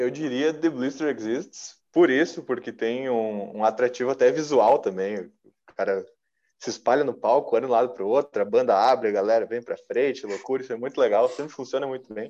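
A man speaks in a dark, mellow tone with big swings in loudness. The background is quiet. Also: medium pitch for a man, ordinary pitch variation. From Novo Hamburgo, Rio Grande do Sul, Brazil. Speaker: rock musician and singer. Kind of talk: casual interview chat.

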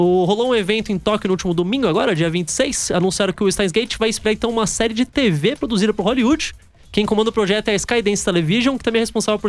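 This man's high voice shows ordinary pitch variation as he hurries along at a very fast pace. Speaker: radio host. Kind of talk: casual chat.

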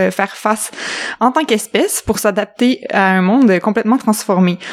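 Here is a woman with an unremarkable speaking voice at a fairly high pitch. Her pace is moderate and her pitch variation is ordinary. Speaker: podcast co-host. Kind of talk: casual chat.

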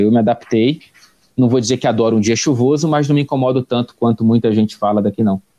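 Fairly quick speech from a man of medium pitch with a dark, mellow tone and ordinary pitch variation, in a dry, close sound with no echo. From Brazil, Rio de Janeiro (Tijuca). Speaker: sports reporter and correspondent. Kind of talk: interview conversation. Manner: hesitant, frequent repetitions.

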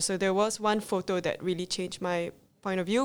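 Here a woman with an unremarkable speaking voice talks at medium pitch and a fairly quick pace. Her intonation stays fairly even, and the recording is very clean with a silent background. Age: 20s. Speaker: small business owner, zero waste advocate. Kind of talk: interview.

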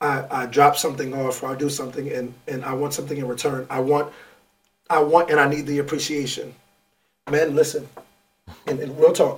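Speaking in a New York accent, a man with a fairly high pitch talks at a fairly quick pace in a monotone, flat intonation, broken by long, frequent pauses. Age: 30s. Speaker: podcast co-host, former teacher, life coach. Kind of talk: casual chat.

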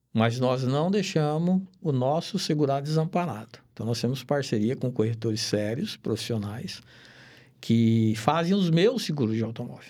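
A man with a fairly high pitch and a dark, mellow tone speaks at a moderate pace, his pitch swinging very widely. The recording is very clean, with a silent background. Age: 60s. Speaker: insurance broker, retired police investigator. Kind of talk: casual chat.

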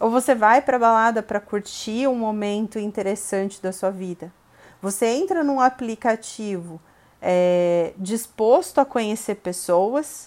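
Over a very clean recording with a silent background, a woman speaks at a moderate pace. It is an ordinary speaking voice, fairly high in pitch, with ordinary pitch variation. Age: 30s. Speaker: marketing professional. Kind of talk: casual interview.

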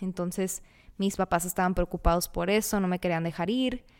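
A woman speaks in a plain, everyday voice at a moderate pace with fairly even intonation, captured in a very clean recording with a silent background. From Mexicali, Baja California, Mexico. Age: 20s. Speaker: podcast host, recent dental graduate. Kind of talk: casual monologue.

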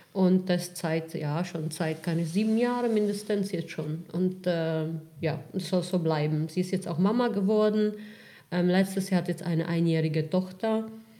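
The voice has a dark, mellow tone and fairly even intonation, with a Czech accent. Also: woman, fairly low pitch for a woman, fairly slow pace. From Czech Republic. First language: Czech (speaking German). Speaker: real estate investor. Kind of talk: interview.

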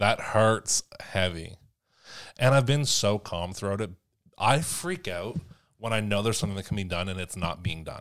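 The recording is very clean, with a silent background. A man with an unremarkable speaking voice talks at a moderate pace in a fairly low pitch with lively intonation. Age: 20s. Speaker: podcast co-host. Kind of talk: casual chat.

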